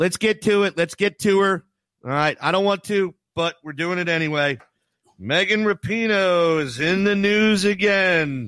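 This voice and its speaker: In an American accent, a man with a high pitch talks at a moderate pace with a bright, sharp tone and ordinary pitch variation, the sound dry and close with no echo. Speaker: sports radio host. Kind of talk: casual sports talk radio. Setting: remote broadcast from Costa Rica.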